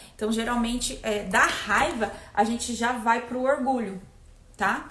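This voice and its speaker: A woman with a fairly high pitch speaks at a fairly slow pace and with fairly even intonation. The room echo is audible, and background noise is noticeable. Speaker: energy therapist. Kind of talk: live stream talk.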